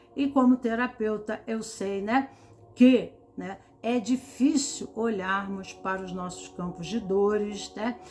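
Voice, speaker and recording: Over noticeable background noise, a woman talks at a very slow pace with a fairly high pitch. Her pitch varies in an ordinary way, while her loudness swings widely. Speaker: tarot reader and therapist. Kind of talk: tarot reading talk. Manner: slow, with pauses; calm.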